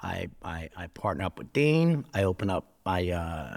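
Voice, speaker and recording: Very wide pitch swings mark this fairly slow delivery in a New Jersey accent. The recording is very clean, with a silent background. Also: man. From New Jersey (Newark area). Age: 40s. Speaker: former prisoner. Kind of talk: casual chat. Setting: studio.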